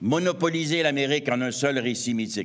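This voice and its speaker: The speech moves at a fairly slow pace with lively intonation and audible room echo. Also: man. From Quebec, east Montreal. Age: 60s. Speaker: anthropologist and author. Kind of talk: lecture.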